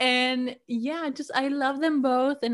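A woman with a Spanish accent talks with fairly even intonation. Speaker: podcaster and college student. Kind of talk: casual interview.

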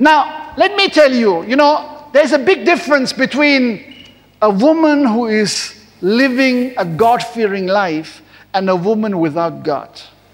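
A man with an extremely high pitch, very wide pitch swings and a fairly slow pace, over noticeable background noise. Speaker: preacher. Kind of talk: sermon. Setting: church service broadcast on television. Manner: warm, animated pulpit delivery with call-and-response, pausing for amens.

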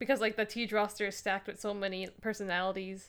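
A woman with a plain, everyday voice speaks at a fairly quick pace and a medium pitch, recorded very cleanly against a silent background. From Canada. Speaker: podcast co-host. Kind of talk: casual chat.

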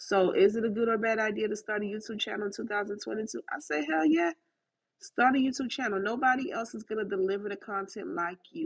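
A woman's fairly high pitch with lively intonation at a fairly quick pace. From Haitian-American, US South. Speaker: podcaster and YouTube creator. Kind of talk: casual solo podcast talk. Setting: live Clubhouse recording. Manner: direct, concise.

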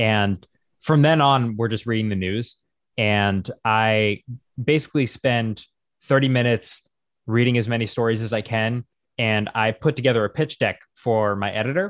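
A man speaks with a normal speaking voice in an American accent, at a medium pitch with ordinary pitch variation and a moderate pace. The recording is very clean, with a silent background, and has a dry, close sound with no echo. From US, small town. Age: 20s. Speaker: comedic news content creator. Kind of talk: casual interview.

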